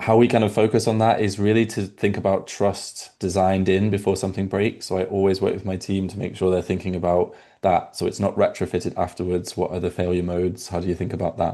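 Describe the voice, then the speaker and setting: A man with a British accent speaks at a very fast pace in a very deep, low pitch and a dark, mellow tone. His intonation is monotone and flat, over a quiet background. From UK. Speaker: product executive. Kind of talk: webinar panel discussion.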